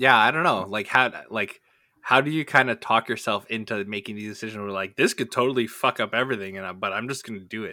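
In a very clean recording with a silent background, a man with a medium pitch and a bright, sharp tone speaks at a very fast pace. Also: ordinary pitch variation, big swings in loudness. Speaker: tabletop game master and podcast co-host. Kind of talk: casual chat.

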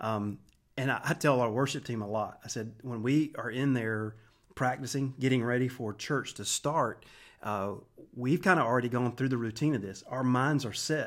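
A man with an ordinary speaking voice and an American accent talks at a moderate pace and medium pitch, with ordinary pitch variation, on a very clean recording with a silent background. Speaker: worship pastor. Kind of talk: casual interview.

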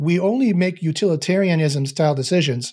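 A man with a Canadian accent sounds somewhat breathy. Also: very clean recording, silent background. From Canada. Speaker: neuroscientist and meditation teacher. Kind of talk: casual interview conversation. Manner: halting, many fillers and repetitions.

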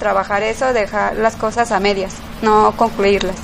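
Noticeable background noise sits behind a woman with a fairly high pitch who talks at a moderate pace. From Mexico, Guadalajara. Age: 30s. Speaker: café owner. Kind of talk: interview. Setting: café. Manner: halting.

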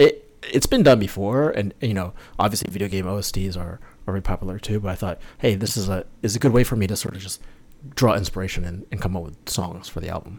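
Talking at a very fast pace, a man with an American accent sounds somewhat breathy at a fairly low pitch, with ordinary pitch variation and big swings in loudness. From New York State, north of the city. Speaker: musician, video game music composer. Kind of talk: casual interview chat.

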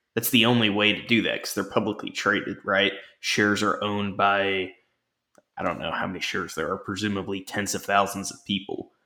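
In a very clean recording with a silent background, a man with a fairly low pitch talks at a fairly quick pace in a bright, sharp tone with monotone, flat intonation. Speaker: wrestling podcast co-host. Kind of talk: casual chat.

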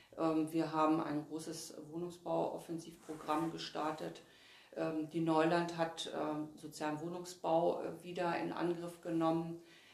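A woman with a fairly low pitch speaks at a fairly slow pace in a monotone, flat intonation. Audible room echo and noticeable background noise surround her voice. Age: 50s. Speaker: state politician. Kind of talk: interview. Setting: party offices.

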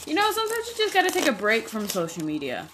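Against noticeable background noise, a woman's voice moves in very wide pitch swings. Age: 20s. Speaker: podcast host. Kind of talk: casual chat. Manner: rambling, filler-heavy.

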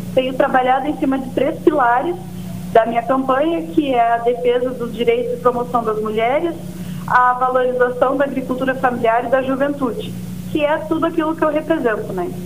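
A woman's high-pitched, lively voice at a fairly quick pace, with noticeable background noise and audible room echo. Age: 20s. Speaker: local politician and farmer. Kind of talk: interview.

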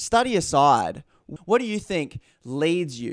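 A man with an Australian accent at a very slow pace, on a very clean recording with a silent background. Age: 30s. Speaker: podcast host. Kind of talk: podcast interview.

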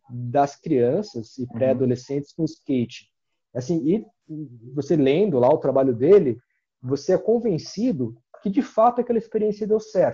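The intonation is lively. The man's tone is dark and mellow. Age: 40s. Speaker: university professor and skateboarder. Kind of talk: casual interview.

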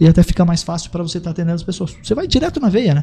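Somewhat breathy, a man speaks with lively intonation in a dark, mellow tone. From Paraná, Brazil (gaúcho family). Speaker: credit agent, former hot dog vendor. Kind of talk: casual podcast interview.

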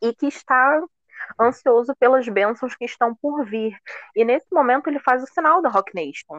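In a dry, close sound with no echo, a woman with a high pitch uses lively intonation at a moderate pace. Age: 20s. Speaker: fan guest. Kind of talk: casual chat.

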